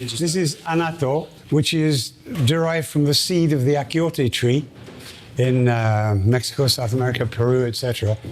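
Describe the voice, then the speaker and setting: A man with a British accent, medium pitch, ordinary pitch variation and very even loudness at a moderate pace, over noticeable background noise. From United Kingdom. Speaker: cheesemaker. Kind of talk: interview answer.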